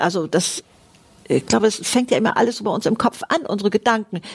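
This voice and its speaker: Noticeable background noise sits behind a woman speaking at a fairly high pitch with lively intonation. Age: 70s. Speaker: podcast host. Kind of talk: casual chat.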